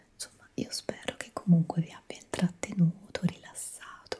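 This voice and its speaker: Soft-spoken and whispering, a woman keeps a moderate pace against noticeable background noise. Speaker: relaxation-video creator. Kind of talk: soft-spoken video chat. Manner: soft close ASMR whisper.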